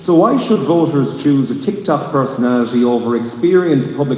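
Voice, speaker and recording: A man with an Irish accent over noticeable background noise. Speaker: debate moderator. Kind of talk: political debate moderation. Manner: interrupting, pressing.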